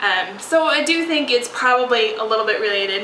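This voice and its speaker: A woman speaks over noticeable background noise with audible room echo. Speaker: podcast host. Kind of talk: casual chat. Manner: hesitant, many fillers.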